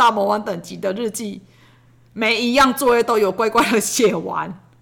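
Her tone bright and sharp, a woman speaks at medium pitch with ordinary pitch variation. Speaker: podcast host, parent of a child with ADHD. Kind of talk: casual monologue. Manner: fast.

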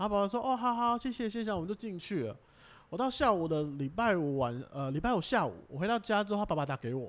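A man talks at a very fast pace in a high pitch. His pitch swings very widely. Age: young. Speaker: traditional Chinese medicine assistant. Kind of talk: casual chat.

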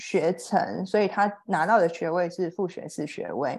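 Over a quiet background, a woman with an unremarkable speaking voice speaks at a fairly slow pace, her fairly low pitch showing ordinary variation. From Taiwan. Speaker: HR professional, former English student. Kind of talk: interview.

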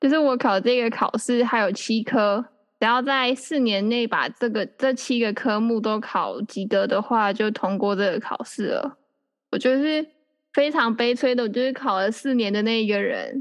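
A woman speaks in a plain, everyday voice at a fairly high pitch. She keeps a moderate pace with ordinary pitch variation. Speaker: podcast host. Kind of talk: casual chat.

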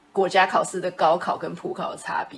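A woman speaks at a medium pitch in a normal speaking voice. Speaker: podcast co-host. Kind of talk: casual chat.

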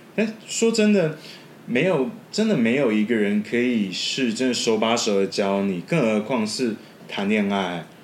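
A man with a medium-pitched voice talks at a fairly slow pace, his loudness very even and his pitch varying in an ordinary way. Noticeable background noise runs under his speech. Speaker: podcast editor. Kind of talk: casual chat.

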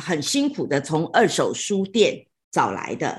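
A woman speaks at a fairly slow pace with vocal fry. Her pitch swings very widely against a quiet background. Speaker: radio host. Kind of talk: online talk moderation. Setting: online livestream talk.

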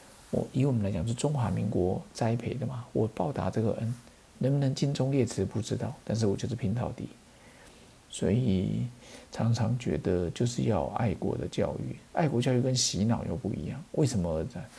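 A man with a Taiwanese accent talks at a moderate pace and medium pitch. His tone is dark and mellow, with vocal fry. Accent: Taiwanese Mandarin. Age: 40s. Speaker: pharmacist podcast host. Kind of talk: casual poetry commentary. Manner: animated.

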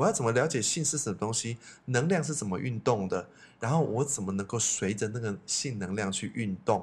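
A man's medium-pitched, somewhat breathy voice at a fairly quick pace, with lively intonation. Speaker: psychology expert, teacher, podcast co-host. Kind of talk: casual chat.

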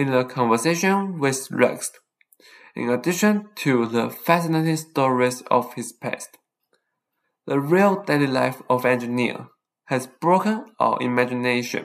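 The speaker has a Taiwanese accent and talks at a fairly slow pace. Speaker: podcast host, college student. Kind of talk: scripted monologue.

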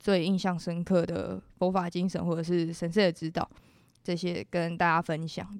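On a very clean recording with a silent background, a woman with a fairly low pitch talks at a moderate pace in a monotone, flat intonation. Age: 20s. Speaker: university student. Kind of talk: interview testimony. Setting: studio.

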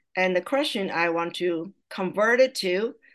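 With a Taiwanese accent, a woman talks fairly slowly at a medium pitch with ordinary pitch variation against a quiet background. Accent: Taiwanese Mandarin-accented English. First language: Mandarin Chinese. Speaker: language teacher and parent. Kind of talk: casual interview.

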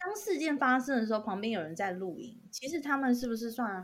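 A woman's fairly high, somewhat breathy voice with lively intonation at a fairly quick pace. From Taiwan, Tainan. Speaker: podcast co-host. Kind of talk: casual chat.

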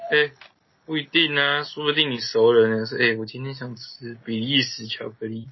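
This is an unremarkable speaking voice from a man at medium pitch. He keeps a moderate pace and fairly even intonation. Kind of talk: casual chat.

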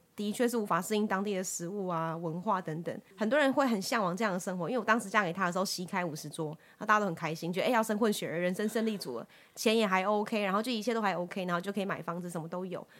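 Speech rushes along at a very fast pace with hardly any pauses and ordinary pitch variation. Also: woman, medium pitch for a woman. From Taiwan, Taichung. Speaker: headhunter and co-founder of women's academy. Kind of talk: interview.

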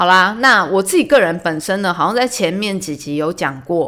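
Her bright, sharp tone sits at a fairly low pitch for a woman, delivered at a fairly quick pace with lively intonation. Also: very clean recording, silent background. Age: 30s. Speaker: podcast host. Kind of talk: casual solo talk.

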